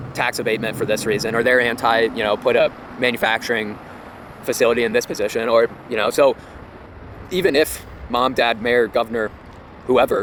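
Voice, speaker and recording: Noticeable background noise sits behind a man's voice. He speaks at medium pitch and a fairly quick pace. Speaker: real estate commentator. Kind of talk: casual talk to camera. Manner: fast.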